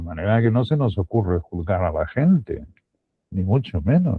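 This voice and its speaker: A man talks in a fairly low pitch. His intonation is lively. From Spain, Extremadura. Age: 60s. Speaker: Bible teacher. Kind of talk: Bible teaching talk. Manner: halting, with repetitions.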